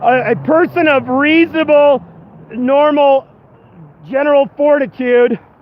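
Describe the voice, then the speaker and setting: Noticeable background noise sits behind a man speaking at an extremely high pitch. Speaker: activist. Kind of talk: testimony. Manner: halting.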